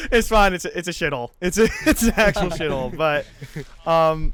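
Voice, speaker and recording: A man with a Midwestern American accent, high in pitch and fairly quick. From Illinois, US Midwest. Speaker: podcast co-host. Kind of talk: casual chat. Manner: halting.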